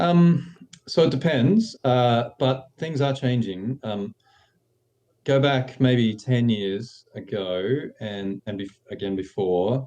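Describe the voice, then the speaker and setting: Speaking very slowly in an Australian accent, a man with a medium pitch has a dark, mellow tone and lively intonation. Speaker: screenwriter. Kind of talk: interview.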